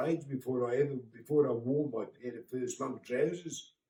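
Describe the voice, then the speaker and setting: A somewhat breathy man with a fairly high pitch and a dark, mellow tone, at a moderate pace with ordinary pitch variation. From Birmingham, England. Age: 60s. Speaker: grandfather talking to a school class. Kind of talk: home-learning talk for children.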